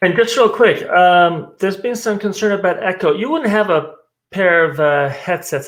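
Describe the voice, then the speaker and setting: A man's speech moves fairly quickly, his pitch varying in an ordinary way. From Italy. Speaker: conference host. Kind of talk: virtual conference hosting.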